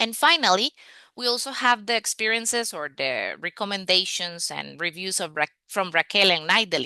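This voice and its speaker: A woman with a medium-pitched voice and a bright, sharp tone talks at a moderate pace with lively intonation against a quiet background. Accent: Spanish. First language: Spanish. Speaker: language coach. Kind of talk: online masterclass. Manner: hesitant with fillers.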